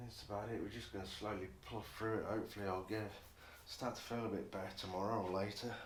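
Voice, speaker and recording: A man mumbles at a very fast pace in an English accent, his pitch fairly low and his intonation monotone and flat. Audible room echo surrounds his voice. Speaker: motorcycle builder. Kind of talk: workshop vlog. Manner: mumbling.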